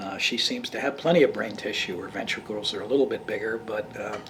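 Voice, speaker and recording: The speaker moves at a fairly quick pace. Noticeable background noise can be heard. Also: man. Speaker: neuroscientist. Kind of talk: interview answer.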